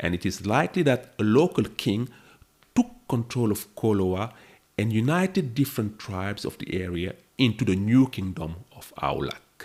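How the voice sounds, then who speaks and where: With a French accent, a man talks at a moderate pace in a fairly low voice, his intonation lively and his loudness swinging widely. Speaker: history podcaster. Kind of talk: scripted narration.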